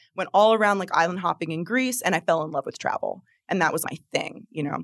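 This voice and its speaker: Dry and close with no echo, a woman's fairly low voice with vocal fry comes through in an American accent. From New Jersey. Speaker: astrologer and tarot reader. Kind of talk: casual interview chat.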